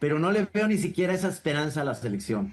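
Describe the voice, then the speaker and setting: The pace of this man's speech is fairly quick. His intonation rises and falls normally. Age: 60s. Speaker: cartoonist. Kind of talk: interview. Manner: halting, many repetitions and fillers.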